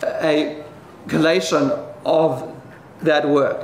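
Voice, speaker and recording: A man's high-pitched voice amid audible room echo and noticeable background noise. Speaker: economist debater. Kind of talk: debate presentation. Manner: halting, many fillers and repetitions.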